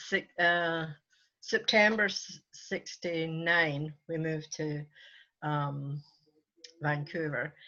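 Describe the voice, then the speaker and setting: A woman talks very slowly in a very deep, low voice with a Scottish accent. Her intonation stays fairly even, broken by long, frequent pauses. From Scotland, Port Glasgow. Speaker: church elder, retired nurse. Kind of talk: interview.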